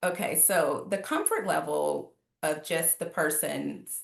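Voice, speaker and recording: A woman is speaking. She has a slight New Orleans accent. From New Orleans, Louisiana. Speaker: life coach. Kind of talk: podcast interview.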